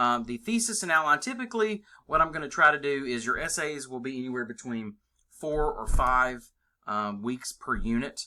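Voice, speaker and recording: A man speaks with a bright, sharp tone and fairly high pitch. His intonation is lively. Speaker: college English instructor. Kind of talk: screencast tutorial. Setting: screen recording. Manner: casual with many fillers; fast. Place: home room. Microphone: webcam.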